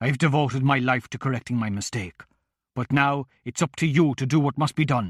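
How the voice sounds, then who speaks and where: A growling put-on character voice from a man at medium pitch and a fairly quick pace, in a very clean recording with a silent background. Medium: read story.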